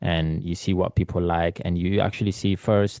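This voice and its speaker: A man with a non-native accent speaks in a very deep, low voice, recorded dry and close with no echo. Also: quiet background. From Eritrea, raised in London. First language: not English. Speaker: photographer. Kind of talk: interview. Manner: halting, many fillers.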